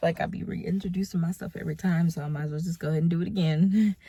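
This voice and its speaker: Speaking at a very fast pace, a woman uses a fairly low pitch and fairly even intonation. Noticeable background noise is present. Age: 20s. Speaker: mother and lifestyle vlogger. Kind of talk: casual talk to camera.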